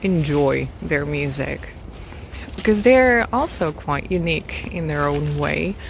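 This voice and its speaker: With a non-native accent, a woman speaks at a very slow pace amid audible room echo and noticeable background noise. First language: not English. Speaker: music vlogger. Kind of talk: casual vlog monologue. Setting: outdoors, walking in a forest. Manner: hesitant, with fillers and repeats.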